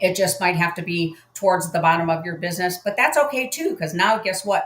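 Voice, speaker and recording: A woman talks at a moderate pace and medium pitch with ordinary pitch variation. She has a plain, everyday voice. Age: 60s. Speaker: retired hairdresser and crypto mining promoter. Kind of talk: sales webinar.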